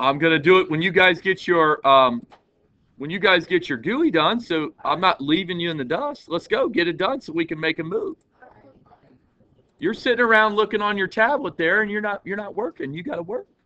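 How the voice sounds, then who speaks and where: Loud and fairly quick, a man talks at a high pitch with lively intonation. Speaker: teacher. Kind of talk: classroom lesson. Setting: classroom.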